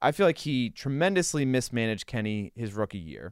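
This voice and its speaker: With an American accent and a normal speaking voice, a man at medium pitch uses lively intonation in a very clean recording with a silent background and a dry, close sound with no echo. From Western Pennsylvania. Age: 30s. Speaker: sports reporter. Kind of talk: casual chat. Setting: studio.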